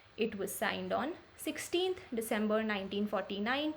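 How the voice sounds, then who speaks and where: A woman talks at a moderate pace in a somewhat breathy voice. Her intonation is lively. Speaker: law exam tutor. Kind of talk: tutorial.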